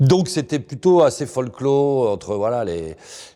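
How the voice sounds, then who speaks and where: A man speaks with lively intonation. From Paris region, Seine-Saint-Denis (93). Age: 50s. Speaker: investigative journalist. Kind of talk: interview. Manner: casual, colloquial with hesitations.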